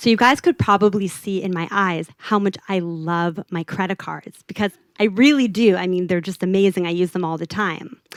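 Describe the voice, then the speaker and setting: Speaking at a moderate pace with hardly any pauses, a woman has a slight Los Angeles accent. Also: medium pitch for a woman, ordinary pitch variation, dry, close sound with no echo. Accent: American, toned-down LA Valley girl. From US, California (LA Valley). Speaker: product designer. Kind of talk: conference talk. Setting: stage with audience.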